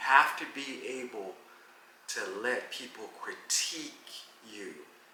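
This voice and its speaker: A man talks at a fairly slow pace, his voice carrying audible room echo. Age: 60s. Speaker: veteran street dancer (popper). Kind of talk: casual interview.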